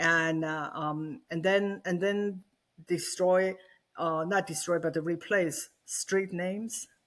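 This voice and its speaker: Very slow speech comes through in a very clean recording against a silent background. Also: woman, fairly low pitch for a woman, ordinary pitch variation. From China, Xi'an. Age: 60s. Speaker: author and speaker on communism. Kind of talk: podcast interview. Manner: halting, many fillers and repetitions.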